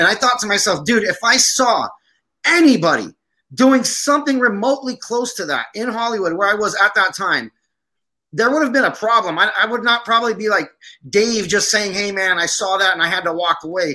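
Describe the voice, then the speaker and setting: A raised, projected voice with a bright, sharp tone moves at a fairly quick pace with ordinary pitch variation. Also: man, high pitch for a man. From Syria, Armenian family from Aleppo. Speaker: army veteran and film producer. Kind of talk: casual interview chat.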